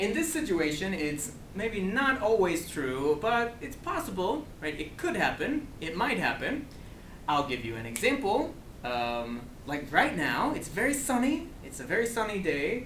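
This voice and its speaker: A man with an American accent and a high pitch talks at a fairly slow pace with very wide pitch swings, noticeable background noise behind him. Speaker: ESL teacher. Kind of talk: grammar lesson to camera. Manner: slow, clear.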